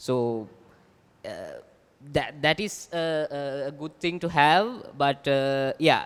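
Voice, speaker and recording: In a Sri Lankan accent, a man speaks at a fairly slow pace. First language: Sinhala. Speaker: writer. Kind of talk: panel discussion. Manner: halting, repetitive.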